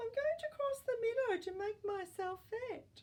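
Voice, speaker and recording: A woman uses a put-on character voice that is squeaky and extremely high. She keeps a moderate pace. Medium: read story.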